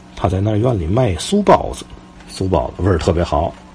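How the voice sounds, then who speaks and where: A man talks at a moderate pace, his pitch varying in an ordinary way, while noticeable background noise runs beneath him. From Tianjin, Xibeijiao area. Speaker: podcast host, local history storyteller. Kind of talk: casual storytelling monologue. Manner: halting, with frequent fillers.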